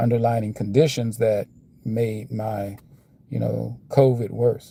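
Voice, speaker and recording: Somewhat breathy and medium in pitch, a man talks with an American accent in a dark, mellow tone. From United States. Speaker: vlogger. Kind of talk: casual monologue. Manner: slurring; halting.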